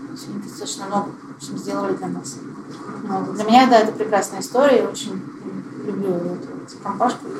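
A woman talks at a very fast pace with big swings in loudness. She leaves long, frequent pauses, and the background noise is noticeable. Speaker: parkrun co-founder and organizer. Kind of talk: casual interview chat. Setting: recorded live in person with the host.

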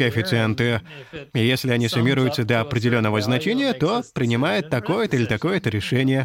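Speaking with an English accent, a man keeps a medium pitch, a fairly quick pace, and very even loudness. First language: English (speaking Russian). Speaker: programming language creator. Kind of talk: interview.

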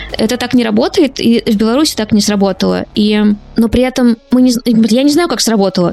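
Over noticeable background noise, a woman with a fairly high pitch talks at a very fast pace, her pitch varying in an ordinary way. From Russia, small town by an unfinished nuclear plant. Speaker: journalist and podcaster. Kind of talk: interview.

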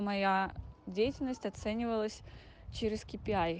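At a fairly slow pace, a woman speaks with a medium pitch, ordinary pitch variation, and a dark, mellow tone. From Urals, Russia (near Yekaterinburg). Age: 20s. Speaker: project manager. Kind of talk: recorded testimony.

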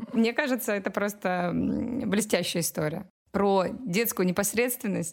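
A woman speaks in a plain, everyday voice at a medium pitch with ordinary pitch variation. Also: fairly slow pace. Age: 30s. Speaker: parenting podcast host, mother. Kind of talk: casual chat.

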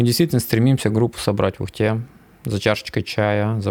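At a fairly quick pace, a man with an ordinary speaking voice and medium pitch talks in a dry, close sound with no echo. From Komi Republic, Inta. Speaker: mountain guide. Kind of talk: casual chat.

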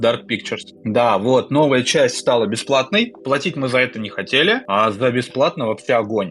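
Over noticeable background noise, a man speaks at a moderate pace. His pitch variation is ordinary. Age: 30s. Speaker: podcast co-host. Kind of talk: casual chat.

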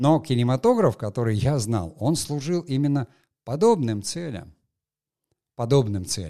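A man speaks at a fairly slow pace with a dark, mellow tone at a medium pitch, leaving long, frequent pauses. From Soviet Union / Russia. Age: 60s. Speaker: podcast host, film industry veteran. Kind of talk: solo monologue, educational talk. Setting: studio. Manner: hesitant, many filler sounds.

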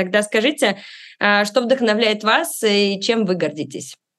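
At a moderate pace, a woman talks in a normal speaking voice with a fairly high pitch and lively intonation against a quiet background. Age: 30s. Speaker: podcast host. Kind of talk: scripted narration; interview.

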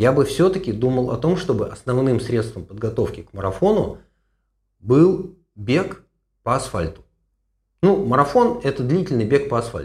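A man's somewhat breathy, medium-pitched voice at a moderate pace, with very wide pitch swings and long, frequent pauses. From Russia, Moscow. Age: 60s. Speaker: running coach and physician. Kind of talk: podcast Q&A.

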